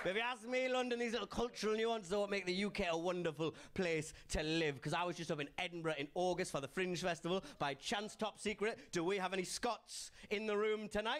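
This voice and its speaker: In a Geordie accent, a man with a high pitch speaks at a fairly quick pace with hardly any pauses, ordinary pitch variation and very even loudness. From northern England, Newcastle (Geordie). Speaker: comedian. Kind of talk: stand-up. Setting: stage with audience.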